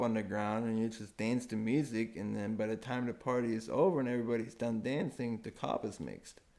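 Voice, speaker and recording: In a German accent, a man talks at a moderate pace with a fairly low pitch. The recording is very clean, with a silent background. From Germany. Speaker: permaculture enthusiast. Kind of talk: casual chat.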